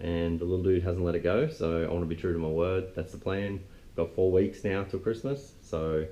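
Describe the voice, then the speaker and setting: A man with an Australian accent speaks at a moderate pace in a very deep, low pitch, his dark, mellow tone carrying fairly even intonation. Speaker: car restorer, video host. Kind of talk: casual vlog. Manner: monotone.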